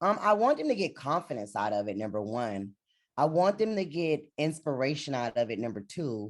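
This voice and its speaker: Loud, very deep, low tones from a woman with very wide pitch swings, at a moderate pace against a quiet background. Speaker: reality TV personality and motivational speaker. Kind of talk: interview. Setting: video call.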